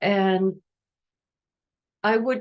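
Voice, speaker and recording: This woman's voice sits at a medium pitch and has ordinary pitch variation. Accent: German. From Germany. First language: German. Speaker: energy healer. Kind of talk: guided meditation; masterclass talk. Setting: Instagram live stream. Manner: hesitant, many fillers.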